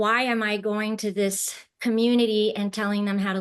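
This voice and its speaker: A flat, monotone delivery in an American accent at a moderate pace, set against a quiet background. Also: woman. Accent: sounds American. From France, then South Korea and China from age eight. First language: French. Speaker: impact finance professional. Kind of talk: interview.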